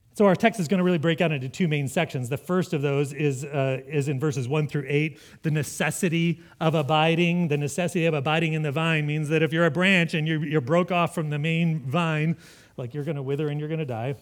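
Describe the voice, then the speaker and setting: Fairly high in pitch, a man talks at a fairly quick pace. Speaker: pastor. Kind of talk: sermon. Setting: church. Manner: loud.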